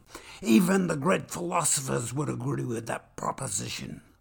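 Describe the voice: Someone is doing plain reading aloud here.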